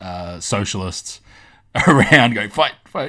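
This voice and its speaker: With an Australian accent, a man speaks in a bright, sharp tone at a fairly low pitch on a very clean recording with a silent background. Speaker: streamer, commentator. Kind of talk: live stream reaction commentary. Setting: live stream. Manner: halting, many filler words; animated.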